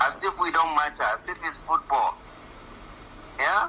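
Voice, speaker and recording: Over noticeable background noise, a man with a fairly high voice talks in a northern Nigerian accent. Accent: northern Nigerian (Hausa) English. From northern Nigeria, Katsina. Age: 60s. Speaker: professor. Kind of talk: radio interview. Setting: radio studio. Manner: animated.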